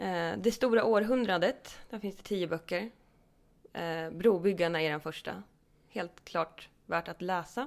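On a very clean recording with a silent background, a woman speaks at a fairly slow pace and medium pitch, her pitch varying in an ordinary way. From Hälsingland, Sweden (Edsbyn). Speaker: podcast co-host. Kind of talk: casual chat.

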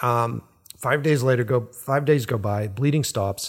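A man with an American accent and an ordinary speaking voice talks at a moderate pace. His medium pitch shows ordinary variation, on a very clean recording with a silent background. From Boston. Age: 40s. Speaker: podcast host, filmmaker. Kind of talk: casual chat. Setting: home recording.

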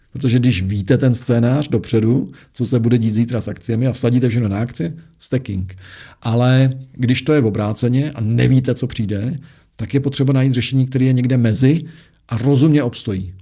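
Somewhat breathy male speech with a dark, mellow tone. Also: medium pitch for a man, ordinary pitch variation, fairly quick pace. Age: 40s. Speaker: investment adviser, former portfolio manager. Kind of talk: interview. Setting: studio.

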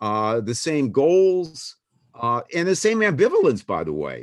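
In a quiet background, a man with an American accent speaks at a fairly high pitch. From US Northeast, Boston. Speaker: political science professor. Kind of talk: interview. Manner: halting, many fillers and repetitions.

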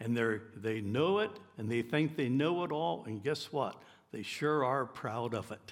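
A man speaks at a fairly slow pace with lively intonation. His voice is medium in pitch. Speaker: pastor. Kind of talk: sermon; sermon, preacher in full flow. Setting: church. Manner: earnest, emphatic, fervent preaching.

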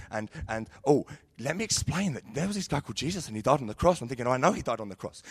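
Speaking very fast with a London accent, a man at a medium pitch swings his pitch very widely. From London, Sidcup. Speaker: youth leader. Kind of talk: sermon. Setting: stage with audience.

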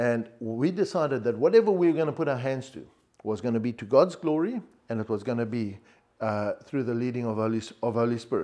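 Very fast speech from a man, medium in pitch and dark and mellow in tone, on a very clean recording with a silent background. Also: ordinary pitch variation. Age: 60s. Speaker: business owner and church elder. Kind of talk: sermon. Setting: church. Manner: halting.

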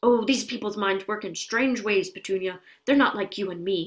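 Putting on a gruff character voice, a woman talks at a moderate pace with a medium pitch and ordinary pitch variation. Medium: read story. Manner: gruff, blustering.

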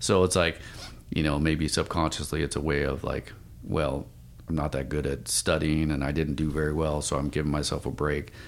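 This man's voice is very deep and low, with vocal fry and a flat, monotone delivery at a moderate pace. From Spokane, Washington, US. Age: 50s. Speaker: firefighter. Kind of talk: interview.

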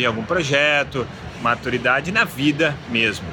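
A man talks with ordinary pitch variation. Noticeable background noise runs behind him. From Brazil. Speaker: podcast host, business coach. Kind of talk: solo podcast monologue. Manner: casual.

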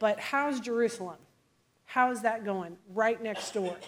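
In a normal speaking voice, a woman with an American accent and a fairly high pitch talks at a moderate pace with ordinary pitch variation. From US Midwest, Illinois. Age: 40s. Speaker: preacher. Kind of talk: sermon.

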